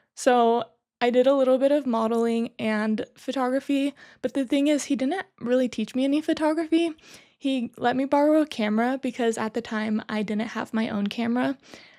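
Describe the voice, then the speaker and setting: A woman's high-pitched voice with a dark, mellow tone, dry and close with no echo, on a very clean recording with a silent background. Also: ordinary pitch variation. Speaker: photographer and podcast host. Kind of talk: casual chat. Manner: fast.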